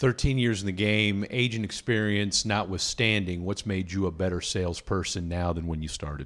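In a very clean recording with a silent background, a man with a fairly low pitch and ordinary pitch variation talks with hardly any pauses. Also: moderate pace. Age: 40s. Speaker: podcast host. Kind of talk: interview. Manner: animated.

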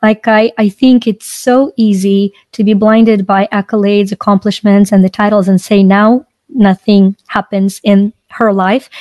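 A woman's dark, mellow tone at a moderate pace, dry and close with no echo. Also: medium pitch for a woman, very even loudness. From Ukraine. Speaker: author and life coach. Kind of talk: interview. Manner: animated.

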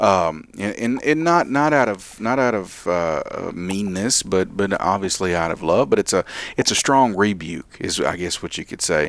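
With a plain, everyday voice, a man speaks at a moderate pace in a fairly low pitch with lively intonation. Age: 30s. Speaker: radio Bible study host. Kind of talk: casual Bible study discussion.

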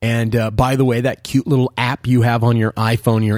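In a dry, close sound with no echo, a man with a medium pitch talks at a fairly quick pace. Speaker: diamond expert podcast host. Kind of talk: angry rant. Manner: cranky, animated.

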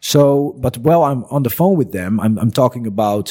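A man speaks with a Dutch accent. His pace is moderate. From Netherlands. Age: 30s. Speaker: business owner and entrepreneur. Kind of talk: casual interview chat. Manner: hesitant, many fillers.

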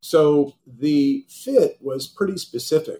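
This man's voice is dark and mellow in tone, somewhat breathy, with lively intonation. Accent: American. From Golden, Colorado. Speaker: wealth management executive. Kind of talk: interview.

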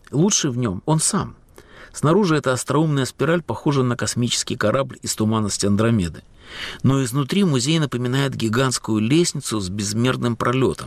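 In an ordinary speaking voice, a man of medium pitch talks at a moderate pace with lively intonation. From Latvia, Riga. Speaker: radio host and writer. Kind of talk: scripted narration.

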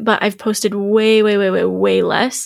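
In a very clean recording with a silent background, a woman with an unremarkable speaking voice talks at a moderate pace and a fairly high pitch. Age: 20s. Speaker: podcast guest sharing life lessons. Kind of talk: casual chat. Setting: studio.

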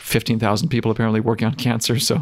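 A man with an American accent and a fairly low voice, very fast, in a very clean recording with a silent background. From US Midwest, Wisconsin. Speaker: scientist and author. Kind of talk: interview.

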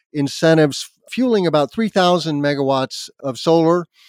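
A man with an American accent talks in an unremarkable speaking voice at a moderate pace with ordinary pitch variation, on a very clean recording with a silent background and a dry, close sound with no echo. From US Southwest, Albuquerque, New Mexico. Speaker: solar energy expert and podcast host. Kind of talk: interview.

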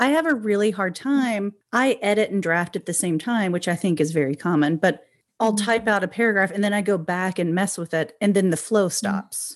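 A woman with an American accent uses an ordinary speaking voice at a medium pitch, talking at a fairly quick pace with lively intonation and hardly any pauses on a very clean recording with a silent background. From rural Oklahoma. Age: 40s. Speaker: podcast host. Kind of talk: interview conversation.

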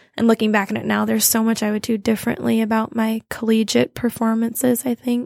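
A woman's fairly high voice at a moderate pace, dry and close with no echo, on a very clean recording against a silent background. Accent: Midwestern American. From Toledo, Ohio. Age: 20s. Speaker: stage actress. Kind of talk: casual interview.

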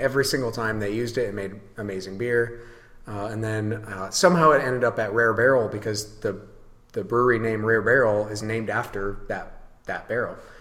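At a fairly quick pace, a man of medium pitch speaks with fairly even intonation. Audible room echo surrounds his voice. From western Michigan. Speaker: brewery owner. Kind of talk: casual chat. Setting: at his brewery.

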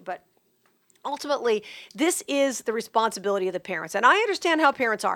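A woman with an American accent talks at a very fast pace. The recording is very clean, with a silent background. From Las Vegas, Nevada. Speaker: radio talk show host. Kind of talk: solo podcast commentary.

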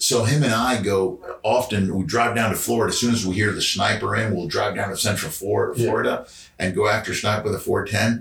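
Over noticeable background noise, a man of medium pitch talks at a fairly quick pace. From Georgia. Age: 40s. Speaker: founder of a hunting brand. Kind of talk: casual chat. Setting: living room.

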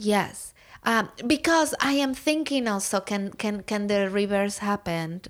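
A woman with a Spanish accent speaks at a fairly slow pace in a very clean recording with a silent background. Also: medium pitch for a woman, lively intonation. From Mexico, Puebla. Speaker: artist and educator. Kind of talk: casual chat. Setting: guest room at home.

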